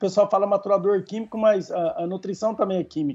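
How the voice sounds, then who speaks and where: The man's voice is high in pitch, with ordinary pitch variation. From São Paulo state interior (São José do Rio Preto region), Brazil. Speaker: agronomy professor. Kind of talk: expert interview. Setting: podcast recording.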